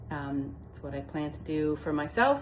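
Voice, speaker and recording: A woman speaks with a very deep, low pitch and vocal fry. Audible room echo surrounds her voice. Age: 60s. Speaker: retirement home manager turned vlogger. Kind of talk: casual informative vlog talk. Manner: conversational with frequent fillers.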